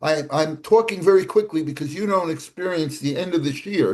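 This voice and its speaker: Pitched high, a man talks at a moderate pace with ordinary pitch variation. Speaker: Torah class teacher. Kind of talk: online Torah class. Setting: video call.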